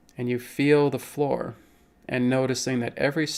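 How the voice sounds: Fairly even intonation marks this natural reading voice.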